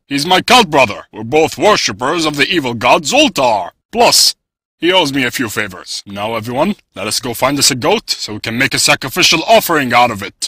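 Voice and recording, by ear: Over a silent background in a very clean recording, a man talks at a fairly quick pace, his fairly high pitch swinging very widely.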